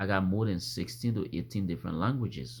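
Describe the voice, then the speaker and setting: At a moderate pace, a man with a fairly low pitch and vocal fry speaks with very wide pitch swings. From Africa. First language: an African language. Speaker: vlogger. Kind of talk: opinion monologue. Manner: repetitive, halting restarts; animated.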